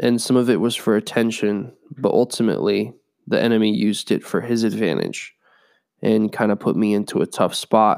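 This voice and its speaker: A man speaks fairly quickly at a medium pitch, with very even loudness and fairly even intonation. The recording is very clean, with a silent background. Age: 20s. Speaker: podcast host and musician. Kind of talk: personal testimony.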